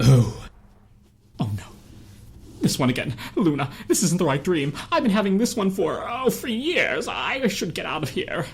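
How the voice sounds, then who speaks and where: A put-on character voice at middle pitch moves at a moderate pace with long, frequent pauses. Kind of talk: dramatic comic reading.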